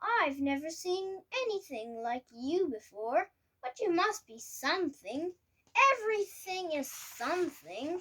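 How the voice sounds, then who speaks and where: A woman puts on a character voice with an extremely high pitch. She speaks at a fairly slow pace. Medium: read story.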